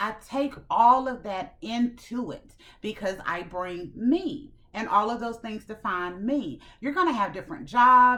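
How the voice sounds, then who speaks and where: A woman's bright, sharp, fairly high voice, animated in tone, with lively intonation, big swings in loudness, and a fairly slow pace. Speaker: self-improvement channel host. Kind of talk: motivational talk to camera.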